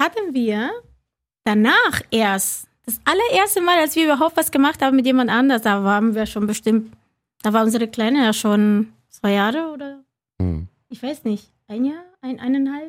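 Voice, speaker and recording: A high-pitched woman's voice with lively intonation at a moderate pace, in a very clean recording with a silent background. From Cuba. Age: 40s. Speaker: reality TV participant. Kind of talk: casual chat.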